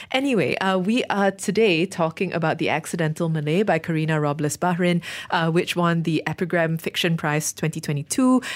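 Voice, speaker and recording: Speaking at a fairly quick pace, a woman uses a normal speaking voice, fairly low in pitch. Her loudness stays very even, with hardly any pauses. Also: ordinary pitch variation. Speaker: radio host. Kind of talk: book club discussion.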